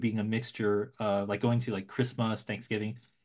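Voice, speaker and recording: The speaker has an American accent and monotone, flat intonation. The background is quiet. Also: man. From US West Coast, San Francisco Bay Area. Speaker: film editor. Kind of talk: casual interview chat.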